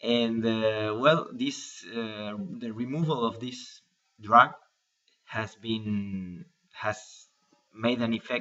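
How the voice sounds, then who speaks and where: A man speaks at a medium pitch and a very slow pace. Long pauses come often. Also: fairly even intonation. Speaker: cancer patient vlogger. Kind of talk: personal video diary. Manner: halting, many fillers and repetitions.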